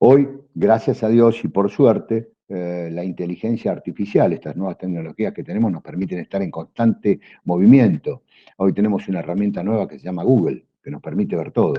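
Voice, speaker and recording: A man talks fairly quickly in a fairly low voice with ordinary pitch variation. His loudness swings widely. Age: 60s. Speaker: customs broker. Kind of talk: panel talk to students. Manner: hesitant fillers.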